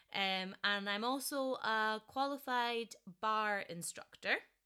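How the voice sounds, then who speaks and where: A woman with a Scottish accent, a bright, sharp tone and medium pitch, at a very slow pace with ordinary pitch variation. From Scotland. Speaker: podcast host, dancer. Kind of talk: solo podcast monologue. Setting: home recording.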